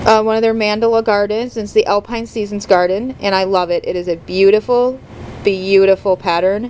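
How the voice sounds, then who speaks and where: A woman talks at a fairly quick pace and a medium pitch. Noticeable background noise runs underneath. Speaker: cross stitch hobbyist. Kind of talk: casual talk to camera.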